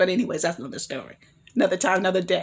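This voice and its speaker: A woman speaks at a medium pitch. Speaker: vlogger giving life advice. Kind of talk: solo vlog monologue. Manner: fast; halting, tripping over words.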